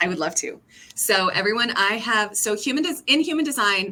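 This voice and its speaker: Loud and bright with a sharp tone, a woman speaks at a moderate pace with fairly high pitch and lively intonation. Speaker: brand strategist. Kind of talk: casual chat. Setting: video call.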